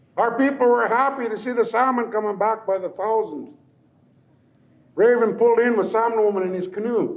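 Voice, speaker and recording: A man at a high pitch with an American accent, moderate pace and audible room echo. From Lummi Nation, Pacific Northwest US. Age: old. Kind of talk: traditional storytelling.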